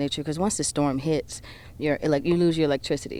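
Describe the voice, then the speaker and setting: A woman with a New Orleans accent talks at a very fast pace in a very deep, low pitch with a dark, mellow tone, on a very clean recording with a silent background. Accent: New Orleans Southern US. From US South, New Orleans, Louisiana. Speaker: singer, songwriter and spoken word artist. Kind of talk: interview.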